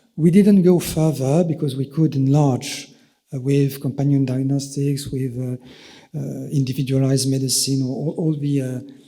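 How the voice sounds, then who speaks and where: A man with a French accent, dark and mellow in tone, fairly high in pitch, fairly even in intonation, at a moderate pace. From France. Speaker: EU official. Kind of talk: conference presentation. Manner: halting, many fillers.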